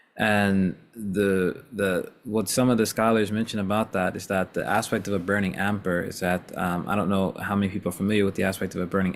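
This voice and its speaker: A man's plain, everyday voice, fairly low in pitch, with fairly even intonation and a fairly quick pace. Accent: American. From US, not New York. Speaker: Islamic teacher. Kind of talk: informal religious discussion.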